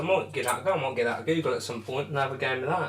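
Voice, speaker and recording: Very fast speech from a man with a fairly high pitch, ordinary pitch variation and noticeable background noise. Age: 20s. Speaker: darts streamer. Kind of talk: live stream chat. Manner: casual.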